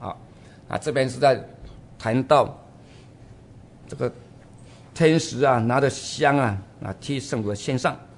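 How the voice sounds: A man speaks in a raspy, hoarse voice with ordinary pitch variation. He leaves long, frequent pauses. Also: medium pitch for a man, fairly slow pace.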